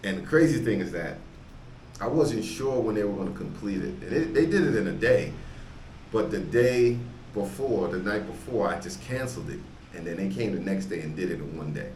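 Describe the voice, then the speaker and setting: Over noticeable background noise, a man with a fairly low voice swings his pitch very widely. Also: fairly quick pace. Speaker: travel vlogger and barber. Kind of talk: interviewer, casual conversation.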